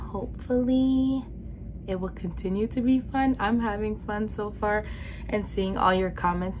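The speech moves at a fairly slow pace with light background noise behind it. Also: woman. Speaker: beauty vlogger. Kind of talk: casual vlog chat. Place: home room.

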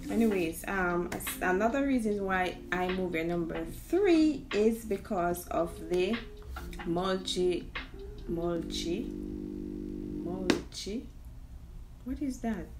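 Speaking very slowly with long, frequent pauses, a woman with a Jamaican accent is heard over noticeable background noise. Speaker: immigrant vlogger. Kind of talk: casual talk to camera. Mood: playful, laughing at herself. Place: home room. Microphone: phone near.

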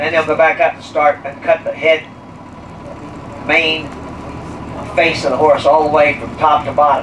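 Against noticeable background noise, a man talks at a fairly slow pace. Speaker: tour guide. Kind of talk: guided tour commentary. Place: bus.

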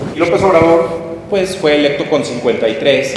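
A man's voice with ordinary pitch variation, strong room echo, and light background noise. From Mexico. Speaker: political analyst. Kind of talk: public talk. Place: hall.

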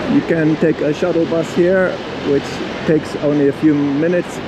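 Noticeable background noise accompanies delivery that is fairly slow. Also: man. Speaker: travel vlogger. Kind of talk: tutorial. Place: station. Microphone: phone near.

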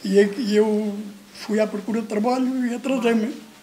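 Over noticeable background noise, a man speaks in a high pitch with fairly even intonation. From Portugal. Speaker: former emigrant. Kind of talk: testimony. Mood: warm, smiling storytelling. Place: home room.

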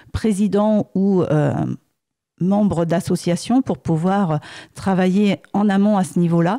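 A woman speaks very slowly in a dark, mellow tone with fairly low pitch. The recording is very clean and silent, the sound dry and close with no echo. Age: 50s. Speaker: accountant, municipal candidate. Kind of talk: radio interview.

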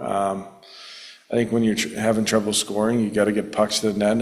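With audible room echo behind him, a man speaks at a fairly quick pace in a fairly low pitch.

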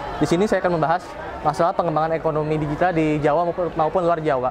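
With crowd noise behind him, a man speaks at a very fast pace with a fairly high pitch. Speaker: university student. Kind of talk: competition speech. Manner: halting, many fillers.

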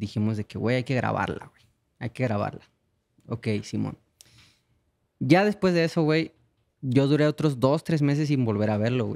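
A man's medium-pitched voice with a dark, mellow tone and ordinary pitch variation. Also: quiet background. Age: 20s. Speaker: singer; guest. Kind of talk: casual chat. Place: studio. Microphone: studio mic.

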